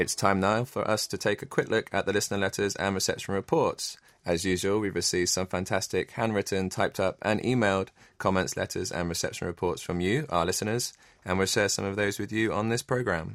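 A man's fairly low-pitched, fairly quick delivery in a normal speaking voice, with fairly even intonation, on a very clean recording with a silent background. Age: 30s. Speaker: radio host. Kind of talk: casual chat.

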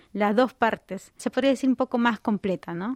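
In a very clean recording with a silent background and a dry, close sound with no echo, a woman with an ordinary speaking voice talks at a fairly quick pace and fairly high pitch, with ordinary pitch variation. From Peru, Lima. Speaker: doctoral student and nutritionist. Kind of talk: radio interview. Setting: studio.

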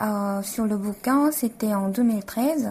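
A woman with a Korean accent speaks very slowly in a fairly high, somewhat breathy voice with ordinary pitch variation. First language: Korean (speaking French). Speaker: architect and author. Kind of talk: radio interview.

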